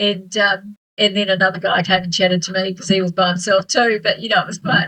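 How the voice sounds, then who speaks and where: With a New Zealand accent, a woman speaks at a fairly quick pace in a medium pitch and monotone, flat intonation. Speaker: author and solo traveller. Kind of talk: casual interview chat. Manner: hesitant, many fillers.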